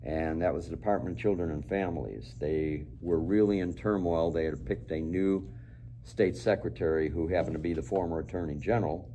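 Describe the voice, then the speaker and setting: A man's very deep, low voice in an American accent, dark and mellow with vocal fry and ordinary pitch variation, in audible room echo. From Chicago, US Midwest. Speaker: retired police officer. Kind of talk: interview. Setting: studio.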